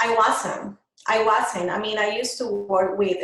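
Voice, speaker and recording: A woman with a Colombian accent speaks at a medium pitch and a fairly slow pace. Audible room echo surrounds her voice. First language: Spanish. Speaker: microblading artist, business owner. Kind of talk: interview.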